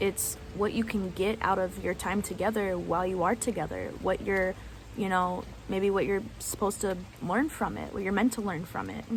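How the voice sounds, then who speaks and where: Over music in the background, a woman talks with fairly even intonation. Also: medium pitch for a woman, moderate pace. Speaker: spiritual coach. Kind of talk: casual talk to camera. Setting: outdoors.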